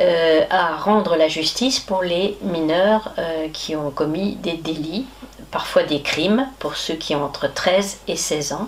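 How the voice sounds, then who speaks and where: Against noticeable background noise, a woman with a fairly low pitch speaks at a very slow pace with ordinary pitch variation. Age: 70s. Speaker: lay juvenile court judge. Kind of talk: interview. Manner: hesitant, many fillers.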